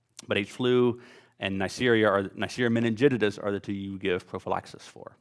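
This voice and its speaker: Big swings in loudness mark a man's speech in a Southern US accent, delivered at a fairly quick pace in a fairly low pitch with fairly even intonation. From US South, Louisiana. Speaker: physician lecturer. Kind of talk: lecture. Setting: stage with audience. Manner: casual, many filler words.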